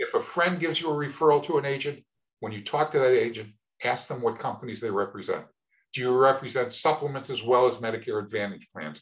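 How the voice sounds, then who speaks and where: A man's voice has a slight breathiness. He talks rather quickly, with lively intonation. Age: 70s. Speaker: Medicare insurance agent. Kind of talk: interview. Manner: repeats words, some false starts.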